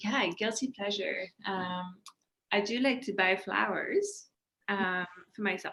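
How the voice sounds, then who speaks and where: A woman speaks in a French accent with a bright, sharp tone. She leaves long, frequent pauses. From France. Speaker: communications professional. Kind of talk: casual interview.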